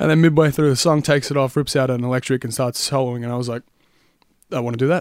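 A man talks at a very fast clip with an Australian accent. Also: medium pitch for a man, fairly even intonation. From Australia, Melbourne area. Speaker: singer and guitarist. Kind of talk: casual chat.

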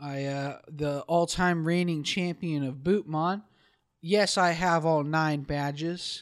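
The recording is very clean, with a silent background. A man speaks very slowly, his intonation fairly even. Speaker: podcast co-host. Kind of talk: casual chat.

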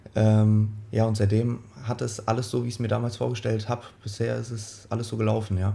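A fairly quick, somewhat breathy male voice, dark and mellow in tone, fairly low in pitch, with monotone, flat intonation. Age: 20s. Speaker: sprint coach. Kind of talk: interview.

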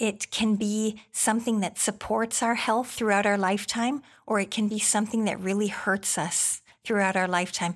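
In a very clean recording with a silent background, a woman of medium pitch uses a normal speaking voice, keeping a moderate pace and fairly even intonation. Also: very even loudness. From Canada. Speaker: physician and health educator. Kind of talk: interview.

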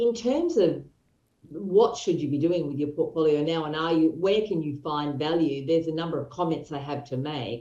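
A woman with an Australian accent speaks at a moderate pace in a very deep, low voice, with a dark, mellow tone and ordinary pitch variation. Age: 60s. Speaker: property investment expert. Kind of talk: interview.

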